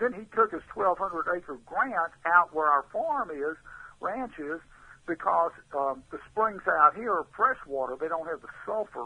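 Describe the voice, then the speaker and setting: A man with a Texan accent talks fairly slowly at a high pitch, in a bright, sharp tone with lively intonation. His loudness swings widely, and the sound is dry and close with no echo. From Texas, Houston. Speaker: artist. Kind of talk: interview storytelling.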